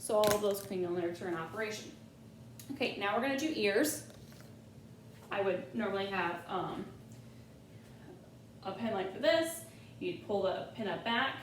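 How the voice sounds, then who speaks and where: With noticeable background noise and audible room echo, a woman at a medium pitch speaks at a moderate pace with lively intonation and long, frequent pauses. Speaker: nursing student. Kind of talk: tutorial. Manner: loud.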